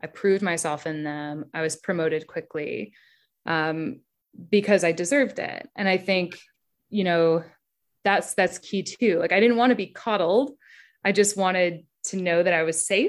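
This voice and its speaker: A woman talks in a normal speaking voice at a medium pitch. Her pace is moderate. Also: ordinary pitch variation. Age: 30s. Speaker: advertising copywriter. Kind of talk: casual chat.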